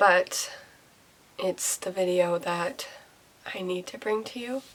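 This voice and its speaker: Noticeable background noise fills the recording. A woman speaks at medium pitch and a very slow pace. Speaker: mommy vlogger. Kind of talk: personal vlog testimony. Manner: hesitant, with fillers.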